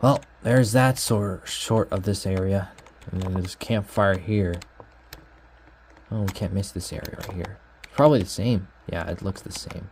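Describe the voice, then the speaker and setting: Speech moves at a moderate pace with long, frequent pauses over noticeable background noise. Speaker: video game world tour vlogger. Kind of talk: casual walkthrough narration. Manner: halting.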